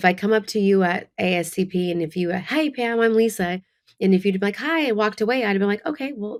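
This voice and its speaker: A woman talks at a fairly quick pace. She has a Californian accent. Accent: Californian American. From Northern California. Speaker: beauty entrepreneur, spray tan and makeup. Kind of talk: casual chat.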